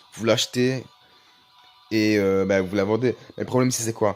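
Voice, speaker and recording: Music plays in the background as a man speaks at a moderate pace. His pitch is medium and his intonation fairly even. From Belgium. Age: 20s. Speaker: gaming YouTuber. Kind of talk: casual gaming tutorial.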